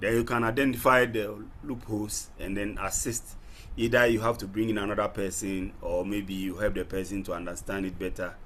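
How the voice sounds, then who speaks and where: Someone talks at a fairly quick pace in a room with audible echo. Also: man, fairly low pitch for a man, fairly even intonation. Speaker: lecturer. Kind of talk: online class session. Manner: soft-spoken. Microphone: too quiet.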